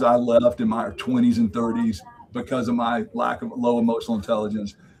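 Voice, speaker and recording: The voice moves at a moderate pace with fairly even intonation. Noticeable background noise runs under it. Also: man. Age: 60s. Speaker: marriage mentor. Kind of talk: podcast interview.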